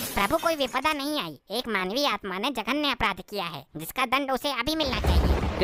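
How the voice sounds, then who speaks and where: A cartoonish character voice at a moderate pace, with faint music in the background. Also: man, extremely high pitch for a man. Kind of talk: formal, Sanskritized Hindi. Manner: officious, stern.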